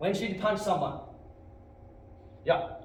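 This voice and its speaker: There is audible room echo and noticeable background noise as a man speaks with a high pitch. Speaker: martial arts instructor. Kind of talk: martial arts class instruction. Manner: commanding, shouted counts.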